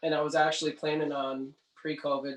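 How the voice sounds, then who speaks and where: A man with a Canadian accent at a moderate pace. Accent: Canadian, noticeable. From Canada, Cape Breton Island, Nova Scotia. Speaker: singer-songwriter. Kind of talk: casual interview chat.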